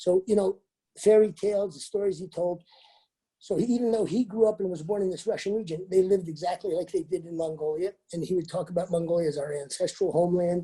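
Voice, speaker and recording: With a dark, mellow tone and a high pitch, a man rattles along at a very fast pace. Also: fairly even intonation. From USA, Mongolian family. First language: Mongolian. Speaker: travel company founder. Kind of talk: interview.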